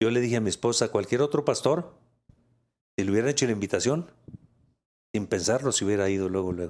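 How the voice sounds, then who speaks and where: With ordinary pitch variation, a man's medium-pitched voice comes through. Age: 60s. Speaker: pastor. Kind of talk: interview testimony.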